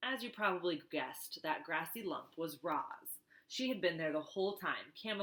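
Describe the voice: The intonation runs lively. The delivery is plain reading aloud.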